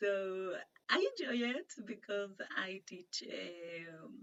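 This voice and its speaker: Speaking with a Spanish accent, a woman uses a medium pitch and ordinary pitch variation. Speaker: interviewer and online English teacher. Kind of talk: casual interview chat. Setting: video call. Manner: halting, many fillers.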